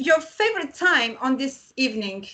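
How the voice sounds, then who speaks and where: Her tone is bright and sharp, and she speaks with a non-native accent. The woman keeps a fairly slow pace with lively intonation. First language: not English. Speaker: music website interviewer. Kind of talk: interview. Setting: video call. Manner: halting.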